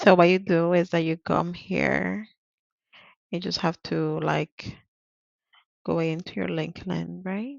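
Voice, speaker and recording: A woman with a Spanish accent speaks at a very slow pace, with long, frequent pauses. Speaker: interpreter and vlogger. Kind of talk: tutorial. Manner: casual, hesitant with fillers.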